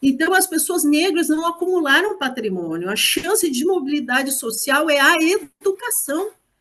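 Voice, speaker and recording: A woman with a high pitch and lively intonation speaks at a moderate pace. She leaves hardly any pauses. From Brazil, Porto Alegre (Partenon). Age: 60s. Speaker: rural extension worker and anti-racism speaker. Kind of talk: talk in an online course. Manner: passionate.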